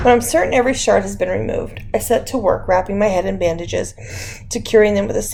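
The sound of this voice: Reading voice, unforced and easy.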